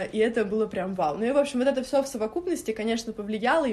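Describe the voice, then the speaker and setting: Talking very fast, a woman keeps her voice at a fairly high pitch. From Moscow. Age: 20s. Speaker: stylist and blogger. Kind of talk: interview.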